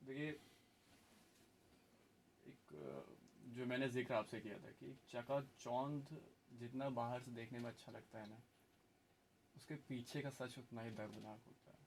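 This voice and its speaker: Speaking at a medium pitch with ordinary pitch variation, a man shows big swings in loudness and takes long, frequent pauses. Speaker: radio jockey. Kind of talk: radio interview host.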